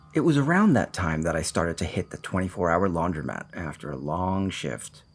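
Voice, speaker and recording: Lively intonation, vocal fry and a fairly quick pace from a man with a very deep, low voice. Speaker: voiceover narrator, indie animator. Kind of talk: first-person horror story narration.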